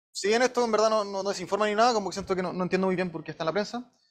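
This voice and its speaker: This man talks in a Chilean accent. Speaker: machine learning engineer giving a talk. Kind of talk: lecture. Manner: fast; casual with many fillers.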